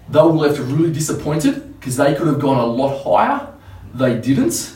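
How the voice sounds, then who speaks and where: A man's fairly high-pitched voice at a moderate pace with fairly even intonation over noticeable background noise. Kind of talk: casual talk to camera.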